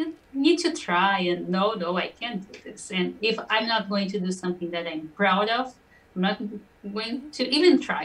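This speaker talks at a fairly slow pace in a Portuguese accent, with lively intonation and big swings in loudness. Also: woman, medium pitch for a woman. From Brazil. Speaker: singer-songwriter. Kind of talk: interview.

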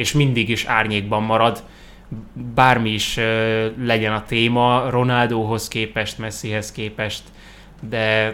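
A man's bright, sharp voice at medium pitch, monotone and flat in intonation, at a very slow pace. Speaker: football podcast host. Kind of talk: casual chat.

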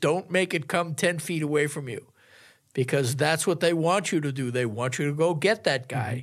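Recorded very cleanly against a silent background, a man with an unremarkable speaking voice talks at a moderate pace with ordinary pitch variation. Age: 60s. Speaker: sportswriter. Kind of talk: casual sports discussion. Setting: studio.

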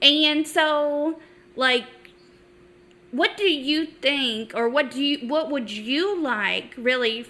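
Using a raised, projected voice with a high pitch, a woman speaks very slowly with ordinary pitch variation and long, frequent pauses. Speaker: podcast co-host. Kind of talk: casual chat.

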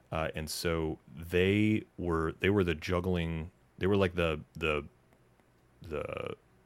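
A man with very deep, low pitch, fairly even intonation, and an American accent. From US South, Knoxville, Tennessee. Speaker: magician, former stand-up comedian and juggler. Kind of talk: casual interview.

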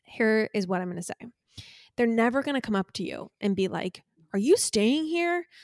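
A woman with a Californian accent speaks in a fairly high voice with lively intonation. The recording is very clean, with a silent background and a dry, close sound free of echo. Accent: Californian American English. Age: 30s. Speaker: podcast co-host. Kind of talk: casual chat.

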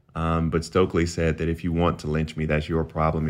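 A man speaks in a very deep, low pitch at a fairly quick pace. His intonation is monotone and flat. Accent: South Carolina. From US South. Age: 30s. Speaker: political commentator. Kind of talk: interview.

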